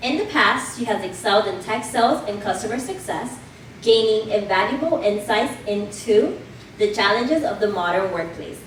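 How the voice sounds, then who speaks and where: Noticeable background noise and audible room echo surround a woman speaking at a moderate pace. Her pitch is fairly high, with ordinary variation. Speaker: event host. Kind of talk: speech introducing a guest speaker. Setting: venue with live audience. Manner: mellow.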